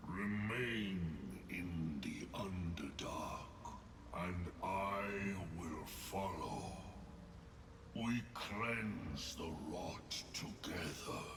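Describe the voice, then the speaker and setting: A man's put-on character voice, very deep and low, at a very slow pace with long, frequent pauses over loud background noise. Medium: video game. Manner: solemn, cryptic.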